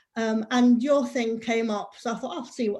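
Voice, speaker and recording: In an English accent, a woman speaks at a moderate pace with a high pitch and fairly even intonation on a very clean recording with a silent background. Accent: English accent, though Scottish. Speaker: worship participant. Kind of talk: casual chat.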